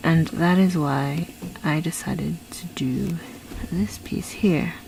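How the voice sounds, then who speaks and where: A woman's very deep, low voice at a very slow pace, with ordinary pitch variation and noticeable background noise. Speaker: art YouTuber. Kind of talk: voice-over commentary.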